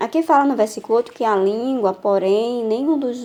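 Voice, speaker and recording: A woman speaks in a fairly high voice with a dark, mellow tone. Her pitch varies in an ordinary way. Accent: northeastern Brazilian. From Northeast Brazil. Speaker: women's Bible teacher. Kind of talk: Bible teaching.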